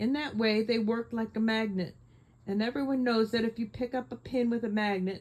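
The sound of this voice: The intonation is fairly even in this unforced reading voice.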